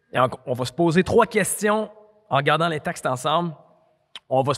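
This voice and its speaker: Against a quiet background, a man speaks with vocal fry and very wide pitch swings. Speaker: preacher. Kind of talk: sermon. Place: hall. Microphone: handheld.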